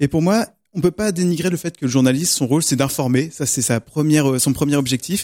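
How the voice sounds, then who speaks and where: A man speaks with a dark, mellow tone and ordinary pitch variation. The recording is very clean, with a silent background and a dry, close sound with no echo. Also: fairly quick pace. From Normandy, France. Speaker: radio show columnist. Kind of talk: radio panel debate. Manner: hesitant.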